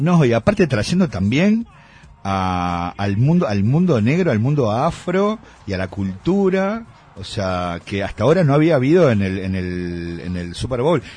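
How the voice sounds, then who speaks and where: The voice carries a Uruguayan accent and very wide pitch swings. Its pace is fairly slow. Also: man, medium pitch for a man. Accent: Rioplatense Spanish (Uruguayan). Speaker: music columnist. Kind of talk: casual radio chat.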